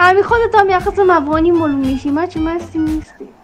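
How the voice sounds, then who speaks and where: Talking at a very fast pace, a woman with an extremely high voice is heard over noticeable background noise. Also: ordinary pitch variation. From Kabul, Afghanistan.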